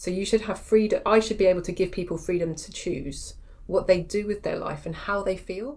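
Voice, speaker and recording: With an English accent, a woman speaks at a fairly quick pace and medium pitch, with ordinary pitch variation and big swings in loudness. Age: 40s. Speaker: pain therapist and strength coach. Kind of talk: podcast interview. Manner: animated.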